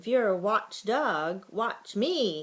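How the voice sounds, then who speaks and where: A woman growls in a put-on character voice at medium pitch. Her intonation is lively. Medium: read story. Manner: barking, growling.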